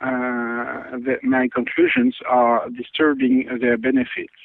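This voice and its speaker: Speaking fairly slowly, a man is heard. He has a French accent. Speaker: scientist. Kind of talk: interview. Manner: halting.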